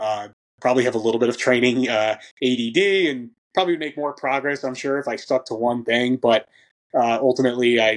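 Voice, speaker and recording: A plain, everyday voice talks at a fairly quick pace, its pitch varying in an ordinary way. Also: man, medium pitch for a man. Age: 30s. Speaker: strength and conditioning coach for grappling athletes. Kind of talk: casual interview conversation.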